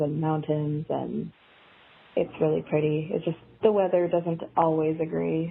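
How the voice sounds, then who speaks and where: A woman speaks with an American accent in a very deep, low voice at a fairly slow pace. Her intonation is monotone and flat, with noticeable background noise. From small town in Washington state, US. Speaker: private pilot. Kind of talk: casual interview conversation.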